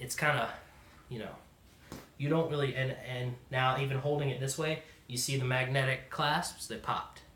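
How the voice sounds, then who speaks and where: In a Southern US accent, a man speaks with fairly even intonation amid audible room echo. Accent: southern drawl. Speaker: product reviewer. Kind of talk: product review. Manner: fast; filler-heavy, says um a lot.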